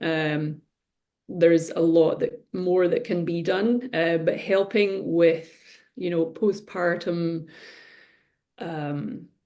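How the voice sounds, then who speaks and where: A woman's dark, mellow tone at a very slow pace. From Scotland. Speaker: reflexologist. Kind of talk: interview answer.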